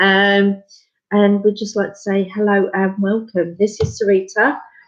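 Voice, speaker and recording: A woman with an English accent speaks at a fairly slow pace in a medium pitch, her intonation monotone and flat. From England. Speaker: craft space founder. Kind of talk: casual chat. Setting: live video stream. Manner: hesitant, many fillers.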